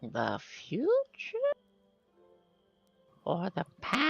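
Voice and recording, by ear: Someone performs a put-on character voice with faint music in the background.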